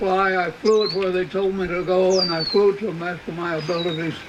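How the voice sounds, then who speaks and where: Spoken with an American accent, the clip carries noticeable background noise. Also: man. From Washington State, USA. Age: 80s+. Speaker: retired Air Force lieutenant general. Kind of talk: birthday celebration speech.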